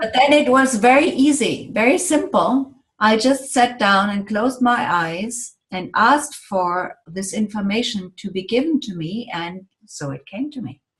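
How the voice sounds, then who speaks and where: Speaking at a fairly slow pace with hardly any pauses, a woman with a German accent uses a fairly high pitch, very wide pitch swings and big swings in loudness. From Germany. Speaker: sound healing therapist. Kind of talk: interview.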